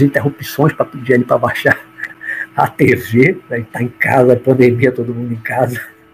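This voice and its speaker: The speaker moves at a moderate pace with fairly even intonation against noticeable background noise. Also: man. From Bahia, Brazil. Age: 60s. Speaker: judge and spiritualist speaker. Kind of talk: autobiographical talk on a livestream.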